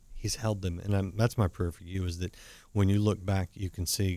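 A man's very deep, low voice, dark and mellow in tone, moves at a moderate pace in a very clean, dry, close recording with a silent background and no echo. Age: 50s. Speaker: talk show host. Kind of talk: interview.

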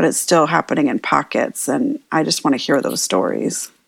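In a very clean recording with a silent background, a woman with a very deep, low pitch and vocal fry talks at a fairly quick pace. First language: bilingual, Spanish and English. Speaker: trauma therapist and activist. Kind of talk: casual chat.

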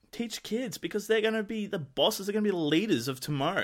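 Very fast and with very wide pitch swings, a man with an Australian accent talks in a high pitch. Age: 20s. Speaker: entrepreneur and podcaster. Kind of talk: casual interview chat. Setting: Skype call.

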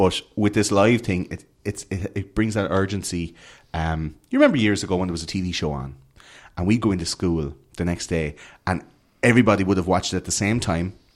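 A man with an Irish accent speaks at a fairly quick pace and a very deep, low pitch with ordinary pitch variation. The recording is very clean, with a silent background. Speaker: conspiracy podcaster. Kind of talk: casual chat. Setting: hotel room studio.

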